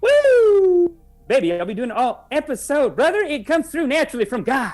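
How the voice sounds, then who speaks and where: A put-on character voice is performed here, moving at a moderate pace. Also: man, extremely high pitch for a man. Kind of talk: sermon-style.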